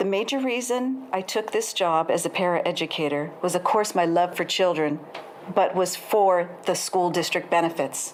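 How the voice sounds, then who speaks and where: A woman speaks at a fairly low pitch and a moderate pace. Her loudness stays very even over noticeable background noise. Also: ordinary pitch variation. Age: 60s. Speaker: paraeducator, public commenter. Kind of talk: public comment at board meeting. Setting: school board meeting.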